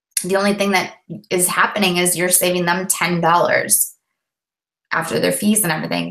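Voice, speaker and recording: A woman talks very fast in a medium-pitched, bright, sharp voice. Her intonation stays fairly even, with vocal fry throughout. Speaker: network marketing coach trainer. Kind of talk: live webinar training. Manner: casual, rambling.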